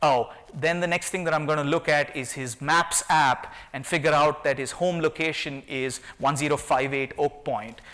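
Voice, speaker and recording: This man has a non-native accent and a fairly high pitch. His tone is bright and sharp, with fairly even intonation. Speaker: tech company CEO. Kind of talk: conference talk. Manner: fast.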